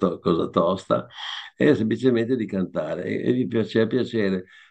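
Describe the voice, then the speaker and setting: Over a quiet background, the speaker talks at a moderate pace with vocal fry and ordinary pitch variation. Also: man. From northern Italy, Cremona/Piacenza area; northern Italy. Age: 80s+. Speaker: singer-songwriter; interviewee. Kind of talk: interview. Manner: halting, many false starts. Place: home room. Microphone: video call.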